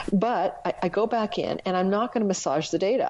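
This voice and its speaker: Noticeable background noise accompanies a woman speaking fairly quickly. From Canada, Ontario. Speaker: astrologer and former psychic medium. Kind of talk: casual interview storytelling. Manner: fast.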